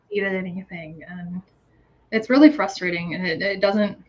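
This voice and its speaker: This woman's voice is somewhat breathy. She has an American accent. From United States. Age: 30s. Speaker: guest with ADHD, PhD holder. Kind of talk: casual interview chat. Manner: halting, many fillers and restarts.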